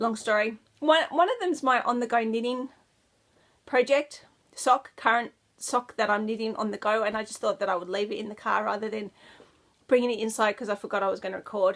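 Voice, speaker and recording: A woman speaks with an Australian accent at a fairly quick pace. Her pitch varies in an ordinary way. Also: fairly high pitch for a woman. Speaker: knitting podcaster. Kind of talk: casual chat. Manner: casual, chatty with many fillers.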